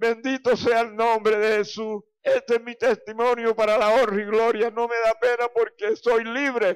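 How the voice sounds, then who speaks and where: Speaking at a fairly slow pace with hardly any pauses, a man uses an extremely high pitch and monotone, flat intonation. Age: 60s. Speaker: church member giving testimony. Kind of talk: testimony.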